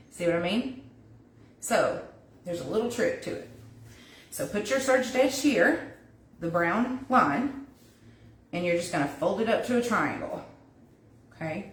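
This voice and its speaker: A woman's fairly high voice with very wide pitch swings and vocal fry, long, frequent pauses, and audible room echo. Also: moderate pace. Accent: Southern US. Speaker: wreath crafter, DIY tutor. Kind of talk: livestream craft tutorial. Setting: Facebook live stream. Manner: casual, chatty.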